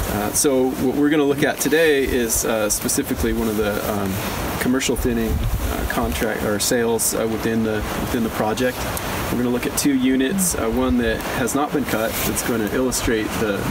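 This man keeps a moderate pace and ordinary pitch variation despite loud background noise. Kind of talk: field trip briefing. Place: open country. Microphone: camera far.

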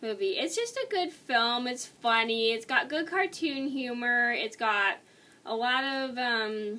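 Her tone is bright and sharp, with lively intonation. The woman speaks at a high pitch and a fairly slow pace. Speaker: video blogger movie reviewer. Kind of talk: casual monologue video. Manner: casual, slightly rambling. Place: home room. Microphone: webcam.

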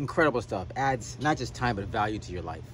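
Dry sound with no echo from a male speaker, light background noise behind. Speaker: vlogger. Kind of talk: casual vlog chat. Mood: pained, laughing at himself. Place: garden. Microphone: phone near.

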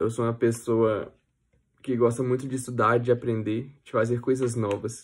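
A man speaks in a monotone with flat intonation. His pace is moderate. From Brazil. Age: 20s. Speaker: physiotherapy student. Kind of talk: application pitch video. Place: home room. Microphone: phone near.

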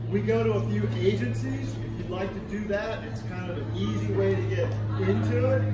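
Over music in the background and audible room echo, a man talks at a moderate pace. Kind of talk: briefing to volunteers. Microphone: phone near.

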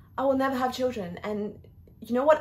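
With an Australian accent, a woman speaks at a high pitch in an intense tone with ordinary pitch variation. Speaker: actor performing an audition-style monologue. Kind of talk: dramatic theatrical monologue, confessional and raw. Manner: emotionally intense, building from grief to bitter rage; repetitive, anguished emphasis. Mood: anguished, bitter, rising anger. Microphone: phone near.

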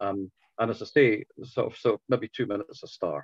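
A man speaks at a fairly low pitch. The sound is dry and close, with no echo.

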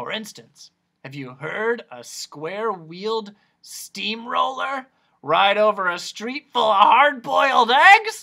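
In a put-on character voice, a man speaks at a high pitch in a raised, projected voice, moving at a fairly slow pace with very wide pitch swings and big swings in loudness. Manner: salesman-like, enthusiastic.

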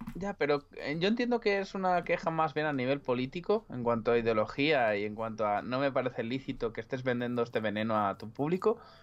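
Speaking at a fairly quick pace with hardly any pauses, a man uses lively intonation. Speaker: streamer and illustrator; streamer. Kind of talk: casual chat. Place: home room. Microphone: too quiet at first.

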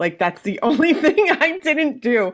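A woman speaks at a moderate pace with very wide pitch swings. The background is quiet. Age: 40s. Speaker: weight loss surgery patient. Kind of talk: casual chat. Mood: candid, lightly humorous. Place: home room. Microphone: earbuds.

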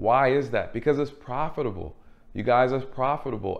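At a fairly quick pace, a man talks. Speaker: channel host. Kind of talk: commentary. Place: home room.

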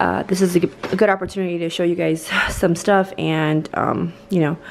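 Monotone, flat intonation comes through over light background noise. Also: woman. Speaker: parent vlogger. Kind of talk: casual vlog chat. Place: home room. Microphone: phone near.

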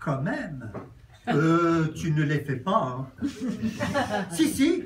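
A man speaks very slowly at a fairly high pitch, with lively intonation. Light background noise is audible. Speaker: friend reading a tribute. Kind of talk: reading aloud. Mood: warm, joking. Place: bar. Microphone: camera far.

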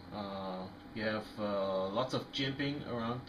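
A man speaks with fairly even intonation. Noticeable background noise runs behind him. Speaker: knife reviewer. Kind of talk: casual product review to camera. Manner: hesitant, many fillers.

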